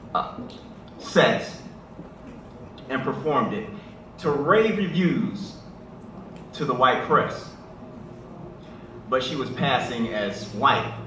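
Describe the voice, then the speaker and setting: Over noticeable background noise, a man speaks at a very slow pace and fairly high pitch, with very wide pitch swings and long, frequent pauses. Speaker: spoken word poet. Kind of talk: talk to a live audience. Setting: live event at a church.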